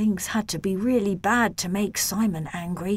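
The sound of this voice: The voice is reading. It is an unforced reading voice.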